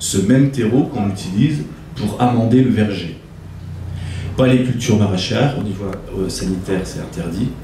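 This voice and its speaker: Amid noticeable background noise and audible room echo, a man with a fairly low pitch and ordinary pitch variation speaks at a moderate pace, leaving long, frequent pauses. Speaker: farm guide giving a tour. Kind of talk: guided tour explanation. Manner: hesitant, many fillers.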